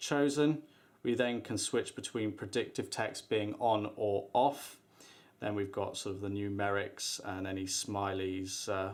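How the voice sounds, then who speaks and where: On a very clean recording with a silent background, a man with an ordinary speaking voice speaks fairly slowly in a fairly low pitch with ordinary pitch variation. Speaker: tech product reviewer. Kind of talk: product demo / unboxing tutorial.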